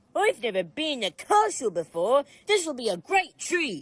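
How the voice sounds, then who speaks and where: The put-on character voice is high-pitched, with very wide pitch swings. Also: moderate pace. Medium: machinima. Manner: eager, hesitant.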